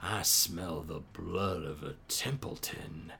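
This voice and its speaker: A put-on character voice from a man, growling and drawling at a very slow pace with a very deep, low pitch over clear background noise. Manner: creepy.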